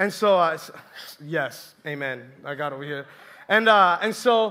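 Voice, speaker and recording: Raised and projected, a man's voice carries an animated, bright, sharp tone with lively intonation. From Colombia. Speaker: youth ministry intern preacher. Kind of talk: sermon. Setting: church with audience.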